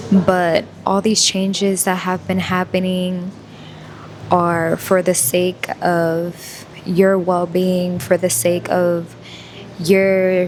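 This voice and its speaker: A woman speaks quietly at a very slow pace. Her intonation is monotone and flat over noticeable background noise. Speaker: spiritual vlogger. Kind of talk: casual vlog monologue. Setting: coffee shop. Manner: quiet, low voice; halting, many fillers.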